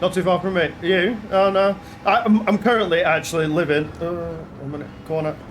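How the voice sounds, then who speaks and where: Against noticeable background noise, a man with a Lancashire accent speaks at a moderate pace, high in pitch with fairly even intonation. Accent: Lancashire accent, self-described as annoying. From northern England, Blackburn, Lancashire. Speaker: gaming streamer. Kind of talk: live-stream commentary while sim racing. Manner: casual, halting with fillers.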